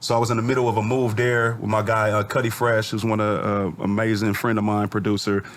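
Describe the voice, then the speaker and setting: This man talks at a fairly quick pace in a medium pitch. His intonation stays monotone and flat. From US Pacific Northwest (Federal Way, Washington; born St Louis, moved at 10). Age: 40s. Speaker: rapper and clothing entrepreneur. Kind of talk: podcast interview, telling life story. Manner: casual, with frequent fillers and restarts.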